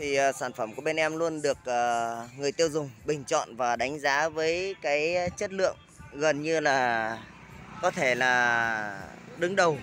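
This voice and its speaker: A man talks at a fairly slow pace with ordinary pitch variation. The sound is dry with no echo, and faint music plays in the background. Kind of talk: product promo commentary. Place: street. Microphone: phone near.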